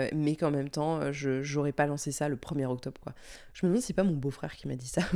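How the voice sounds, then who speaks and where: Very clean and silent in the background, the recording catches a woman with a very deep, low pitch. She moves at a fairly quick pace with fairly even intonation. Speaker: podcaster and audio producer. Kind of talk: casual solo vlog-style chat. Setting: home recording.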